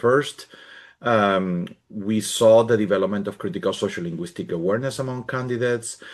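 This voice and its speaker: A man's medium-pitched voice with a Spanish accent at a moderate pace over a quiet background. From Spain. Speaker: professor. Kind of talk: conference presentation. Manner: halting.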